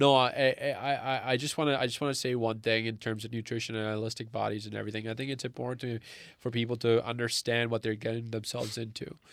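Very fast, monotone, flat delivery from a man at medium pitch, in a very clean recording with a silent background. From Canada, born in Pakistan. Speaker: engineering student and wellness entrepreneur. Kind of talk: casual interview. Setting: studio, face-to-face. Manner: halting, many fillers and restarts.

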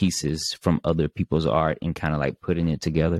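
At a very deep, low pitch, a man speaks with a Southern US accent at a moderate pace and fairly even intonation. The sound is dry and close, with no echo. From Mississippi. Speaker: podcast host. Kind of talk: interview. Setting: video call.

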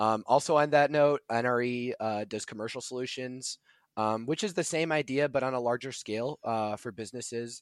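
A man has an ordinary speaking voice, a medium pitch, ordinary pitch variation and an American accent, and he talks at a moderate pace. The recording is very clean, with a silent background and a dry, close sound with no echo. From US Midwest, Chicago area (Illinois). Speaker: engineering student and intern. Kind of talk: podcast interview.

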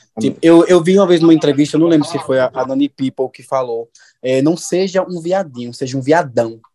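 The sound is dry and close, with no echo, as a man talks at a fairly quick pace. He has a normal speaking voice, fairly high in pitch with ordinary variation. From Juazeiro, Bahia, Brazil. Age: 20s. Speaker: receptionist. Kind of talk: casual chat.

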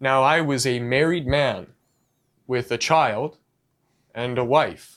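Very slow man's speech at medium pitch, fairly even intonation, very clean recording with a silent background. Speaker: podcast co-host. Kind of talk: casual chat.

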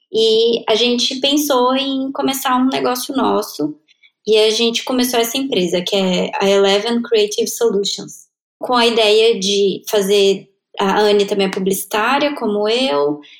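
A woman's unremarkable speaking voice, fairly high in pitch, with lively intonation, very even loudness and a fairly slow pace. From Brasília, Brazil. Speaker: designer and freelance marketer. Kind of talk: interview.

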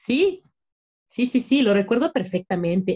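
The voice is somewhat breathy and dark, mellow in tone, with lively intonation at a moderate pace, the sound dry and close with no echo. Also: woman. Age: 30s. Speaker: podcast co-host. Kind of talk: casual chat.

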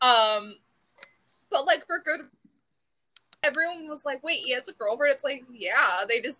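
A woman with an American accent projects a raised voice, high in pitch and bright, sharp in tone, with lively intonation and big swings in loudness. She moves at a moderate pace, broken by long, frequent pauses. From US South, South Florida. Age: 20s. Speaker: podcast co-host. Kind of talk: casual chat.

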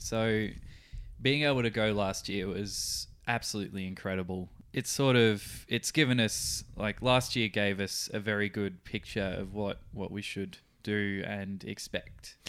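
A man with an Australian accent, fairly low-pitched and fairly slow, with fairly even intonation, on a very clean recording with a silent background. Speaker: radio producer and podcast co-host. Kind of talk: casual chat. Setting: studio.

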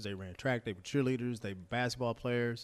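A man with a Texan accent at medium pitch and ordinary pitch variation, in a very clean recording with a silent background. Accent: Texan American. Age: 40s. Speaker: former college quarterback and football broadcaster. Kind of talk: casual interview chat.

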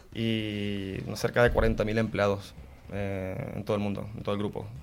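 Fairly low-pitched man's voice, monotone and flat, at a fairly slow pace. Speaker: corporate cybersecurity manager. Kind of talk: interview.

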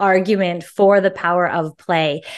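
Over a quiet background, a woman speaks in an animated, bubbly tone at a medium pitch with ordinary pitch variation. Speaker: author and positive psychology professional. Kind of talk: interview conversation.

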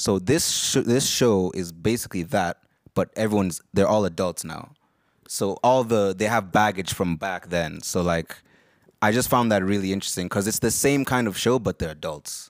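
A man with a plain, everyday voice and a fairly low pitch speaks at a moderate pace. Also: ordinary pitch variation. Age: 20s. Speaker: podcast host. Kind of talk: casual chat.

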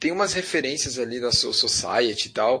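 With music in the background, a man talks at a moderate pace, medium pitch and ordinary pitch variation. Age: 30s. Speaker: anime fan. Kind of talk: casual chat.

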